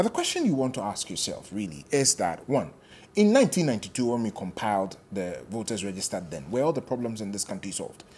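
The speaker has a Ghanaian accent. The pace is fairly quick. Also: man. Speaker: political party spokesperson. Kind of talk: political panel debate. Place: studio.

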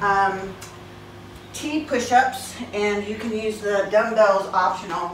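Noticeable background noise and audible room echo surround a woman's voice. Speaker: fitness instructor. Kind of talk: exercise tutorial. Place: gym. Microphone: camera far.

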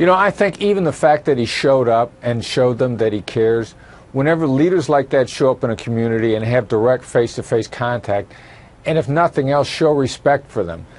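A man with an unremarkable speaking voice and a medium pitch talks at a fairly quick pace with lively intonation. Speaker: former FBI special agent and terrorism expert. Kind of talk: TV news interview answer.

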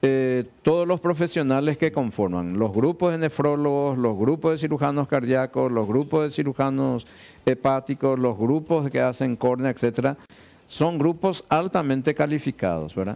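This man's voice sits at a medium pitch. Its tone is dark and mellow. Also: ordinary pitch variation, moderate pace, very even loudness. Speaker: surgeon, director of transplant institute. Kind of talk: TV interview; interview answer. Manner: hesitant, repeats words. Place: studio. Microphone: headset.

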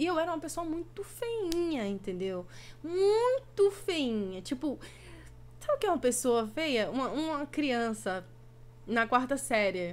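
A woman with a high voice talks very slowly. Her pitch swings very widely from line to line. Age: 20s. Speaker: gaming streamer and youtuber; gaming streamer, youtuber. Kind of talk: casual vlog Q&A. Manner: talkative. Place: home room. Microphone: webcam.

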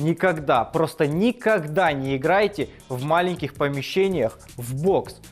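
A man is speaking. Music plays faintly behind him. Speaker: show host. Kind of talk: comedic commentary. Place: studio.

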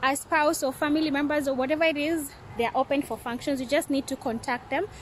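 There is light background noise as a woman with a high pitch speaks in fairly even intonation, the sound dry with no echo. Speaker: vlogger reviewing a restaurant. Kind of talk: casual vlog chat. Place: garden. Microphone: phone near.

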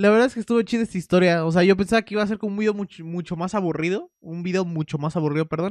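In an animated tone, a man with a high pitch talks at a very fast pace, the sound dry with no echo and the background quiet. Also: ordinary pitch variation, hardly any pauses. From Mexico. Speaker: YouTuber reacting to videos. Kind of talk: casual video reaction commentary. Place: home room. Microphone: studio mic.

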